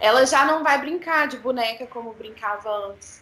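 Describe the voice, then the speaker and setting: The speaker is a woman with a high pitch. She keeps a moderate pace and ordinary pitch variation. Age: 20s. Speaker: podcast co-host, law graduate. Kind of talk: casual discussion of a serious news topic.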